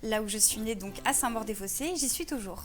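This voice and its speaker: Against audible room echo, a woman talks at a fairly high pitch with lively intonation. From Paris suburbs, France (Val-de-Marne). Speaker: actress and model. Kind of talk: TV interview. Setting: TV studio.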